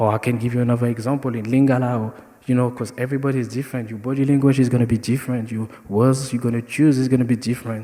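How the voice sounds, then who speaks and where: In a French accent, a man rattles along at a very fast pace, his dark, mellow tone held at medium pitch with monotone, flat intonation. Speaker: dancer. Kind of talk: panel discussion.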